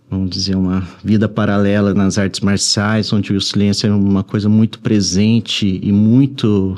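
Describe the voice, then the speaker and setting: Talking with a Brazilian accent, a man keeps a fairly low pitch and monotone, flat intonation at a moderate pace with hardly any pauses. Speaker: writer. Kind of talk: interview. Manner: soft-spoken; halting.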